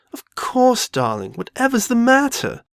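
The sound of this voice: In a put-on character voice, a woman speaks fairly slowly at a fairly high pitch with very wide pitch swings, in a dry, close sound with no echo.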